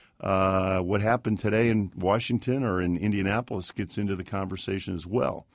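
Speaking at a fairly quick pace with hardly any pauses, a man keeps a fairly low pitch and fairly even intonation. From US (army family, moved often). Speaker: attorney and civic nonprofit founder. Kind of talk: interview. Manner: halting.

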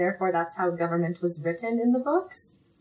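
A woman with a slight Canadian accent and ordinary pitch variation, amid noticeable background noise. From Manitoba, Canada. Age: 20s. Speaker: elementary school teacher. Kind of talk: casual chat.

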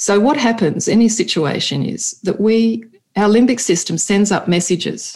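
With an Australian accent, the speaker moves at a fairly slow pace and shows ordinary pitch variation. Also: woman. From Sydney, Australia. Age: 50s. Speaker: neuropsychologist and leadership coach. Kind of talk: podcast interview.

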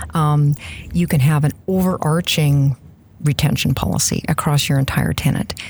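A woman with a Canadian prairie accent speaks in a very deep, low pitch at a moderate pace. Her pitch varies in an ordinary way, her loudness stays very even, and background noise is noticeable. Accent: Canadian prairie, noticeable 'out'. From Saskatchewan, Canada. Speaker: Microsoft MVP, SharePoint consultant. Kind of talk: casual interview.

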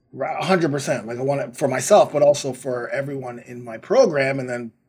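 Somewhat breathy and animated, a man speaks at a fairly quick pace and a medium pitch. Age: 50s. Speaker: fitness podcast host and trainer. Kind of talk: casual interview chat.

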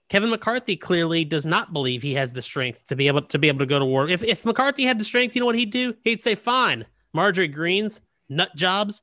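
A man's high, bright, sharp voice with an American accent, fairly quick and full of very wide pitch swings, in a very clean, silent-background recording with a dry, close sound and no echo. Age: 40s. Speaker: political podcast host. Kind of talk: casual political chat.

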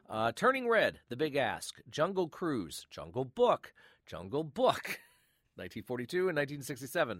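Very slowly, a man with a fairly high, warm voice and vocal fry swings his pitch very widely, recorded dry and close with no echo on a very clean track with a silent background. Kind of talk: relaxed radio-host show wrap-up, chatty sign-off patter leading into an archive clip. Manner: warm, conversational, friendly, with filler 'uh's and casual pacing.

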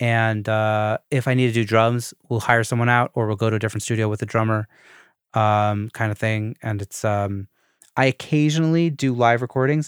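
A man with an ordinary speaking voice, medium in pitch and fairly even in intonation, on a very clean recording with a silent background and a dry, close sound with no echo. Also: moderate pace. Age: 30s. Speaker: podcast host. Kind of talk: casual chat.

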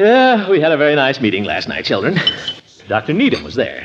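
A man puts on a character voice with a slightly husky edge and a medium pitch. He moves at a fairly quick pace with very wide pitch swings.

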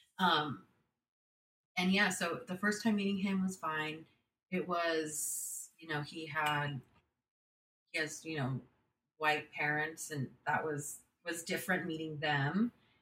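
A woman with a Californian accent, a very deep, low pitch and a bright, sharp tone, speaking very slowly with ordinary pitch variation and long, frequent pauses. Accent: Californian American English. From California (San Jose). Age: 20s. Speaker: podcast guest sharing life story. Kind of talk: personal storytelling interview. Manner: halting with many fillers and repetitions.

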